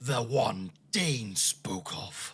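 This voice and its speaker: A man growls in a put-on character voice. His pitch is medium. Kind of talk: comic overacting. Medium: game stream.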